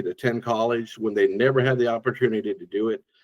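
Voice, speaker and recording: Speaking with an American accent, a man of medium pitch talks at a fairly quick pace. His pitch variation is ordinary, and the sound is dry and close with no echo. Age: 60s. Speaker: driver support worker, former teacher and coach. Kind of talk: podcast interview. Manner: animated, enthusiastic.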